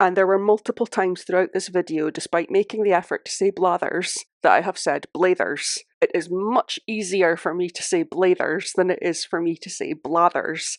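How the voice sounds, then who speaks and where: In a Scottish accent, a woman at medium pitch talks at a moderate pace with fairly even intonation, the sound dry and close with no echo. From Scotland.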